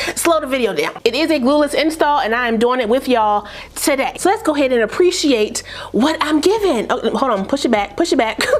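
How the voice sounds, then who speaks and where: A woman's high, animated voice with very wide pitch swings, very even loudness and a fairly quick pace, over noticeable background noise. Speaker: beauty YouTuber reviewing wigs. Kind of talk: casual hair tutorial vlog. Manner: fast.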